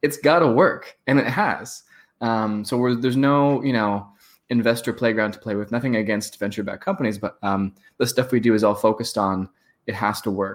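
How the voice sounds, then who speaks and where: A man's medium-pitched voice with a West Coast American accent, moderate in pace, with ordinary pitch variation, in a very clean recording with a silent background. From San Francisco. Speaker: startup founder and marketer. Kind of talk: casual interview.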